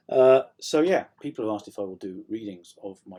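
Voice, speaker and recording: A man's dark, mellow tone, with lively intonation at a moderate pace. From South Yorkshire. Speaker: author. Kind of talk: casual vlog update. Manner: hesitant, many ums.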